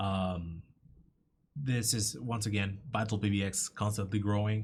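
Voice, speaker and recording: Somewhat breathy, a man's fairly low voice holds a fairly even intonation. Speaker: software company webinar presenter. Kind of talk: webinar Q&A. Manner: halting, many fillers.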